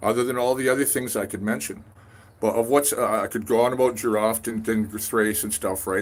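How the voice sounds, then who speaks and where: This man talks at a very fast pace with a western Canadian accent. His intonation stays fairly even. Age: 60s. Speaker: independent scholar vlogger. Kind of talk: casual monologue vlog. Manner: rambling with many fillers and false starts.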